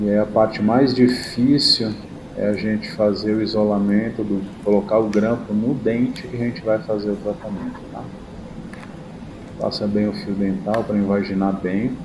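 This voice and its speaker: A man's fairly low voice with fairly even intonation, amid audible room echo and noticeable background noise. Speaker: dentist. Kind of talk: tutorial. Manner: slow; casual.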